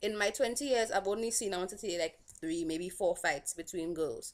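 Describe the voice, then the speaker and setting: A woman speaks with a Saint Lucian accent. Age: 20s. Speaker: vlogger. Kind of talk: casual vlog commentary.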